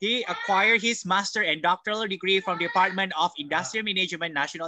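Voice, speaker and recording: Talking at a very fast pace, a man with an Indonesian accent uses a high pitch, the sound dry with no echo and the background quiet. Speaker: professor; seminar host, moderator. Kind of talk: seminar moderation. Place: home room. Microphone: video call.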